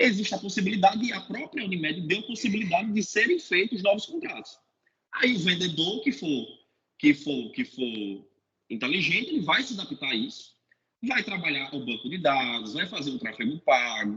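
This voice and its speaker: Raising and projecting his high voice, a man speaks at a moderate pace with very wide pitch swings. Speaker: sales manager in health insurance. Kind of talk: webinar talk. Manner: repetitive stammering on words.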